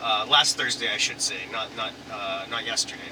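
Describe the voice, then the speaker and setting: Moderately paced speech from a man with a Canadian accent, over noticeable background noise. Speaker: YouTuber. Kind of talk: casual vlog chat. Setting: in a car. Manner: halting.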